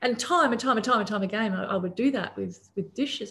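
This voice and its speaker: A woman with an Australian accent speaks at a moderate pace. Her intonation is lively, with vocal fry. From Papua New Guinea. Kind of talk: casual interview. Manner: animated.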